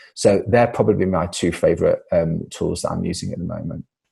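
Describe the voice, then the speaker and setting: A man with a British accent at a moderate pace. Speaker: science communicator. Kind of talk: webinar presentation and Q&A. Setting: video call.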